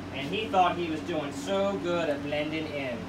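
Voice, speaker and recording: Man at a fairly slow pace, ordinary pitch variation, noticeable background noise. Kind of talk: casual tour commentary. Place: home room. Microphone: camera far.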